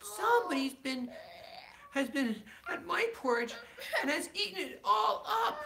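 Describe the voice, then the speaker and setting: A man in a put-on character voice speaks at an extremely high pitch and a moderate pace, with long, frequent pauses and clear background noise behind him. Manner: sad, plaintive.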